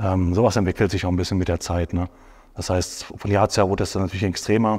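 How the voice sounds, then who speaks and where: A man with a very deep, low pitch speaks in a monotone, flat way, his voice somewhat breathy. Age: 30s. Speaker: professional bodybuilder. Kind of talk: casual chat. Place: studio. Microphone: lapel.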